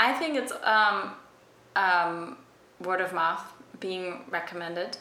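Speaking at a very slow pace, a woman uses a medium pitch and ordinary pitch variation over noticeable background noise. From Germany. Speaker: fashion stylist. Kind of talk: casual chat. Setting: echoey room.

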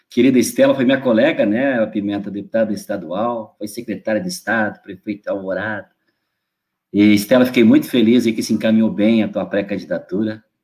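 A man talks fairly quickly in a normal speaking voice. His pitch sits in the medium range, and his intonation stays fairly even. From northwestern Rio Grande do Sul. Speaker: state legislator. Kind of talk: political speech. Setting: online livestream.

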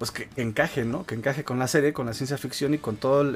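Noticeable noise fills the background as a man rattles off his words very fast. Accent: Mexican. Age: 30s. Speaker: gaming podcast host. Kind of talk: casual chat.

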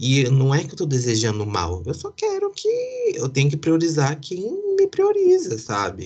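A man talks at a moderate pace. There is a somewhat breathy quality to his voice. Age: 30s. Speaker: podcast host. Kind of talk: casual chat.

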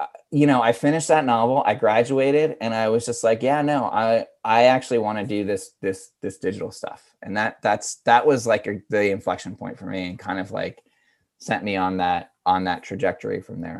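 A man with an American accent speaks in a normal speaking voice at medium pitch. His pace is moderate, his pitch variation ordinary, and the background quiet. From rural Pennsylvania. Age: 40s. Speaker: digital communications director. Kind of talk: interview. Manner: casual, filler-heavy.

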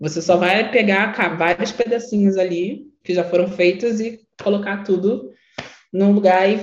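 The clip has an ordinary speaking voice moving at a fairly slow pace, with ordinary pitch variation. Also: woman. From Rio de Janeiro, Baixada Fluminense (Nilópolis). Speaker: creative strategist and workshop facilitator. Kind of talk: online workshop lecture.

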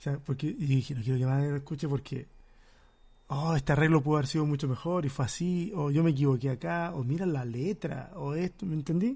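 A somewhat breathy man talks at a fairly quick pace, his fairly high pitch showing ordinary variation. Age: 40s. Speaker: pastor and podcast host. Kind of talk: casual chat.

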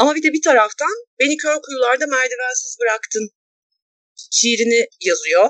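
A woman's high voice, with lively intonation at a moderate pace, comes through with a dry, close sound with no echo. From small Anatolian city, Turkey. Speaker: podcast co-host. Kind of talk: casual chat.

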